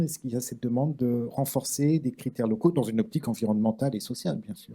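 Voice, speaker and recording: He has a medium-pitched, dark, mellow tone and ordinary pitch variation. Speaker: round table moderator. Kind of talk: panel discussion moderation. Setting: conference with live interpretation. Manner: slow, deliberate for translators.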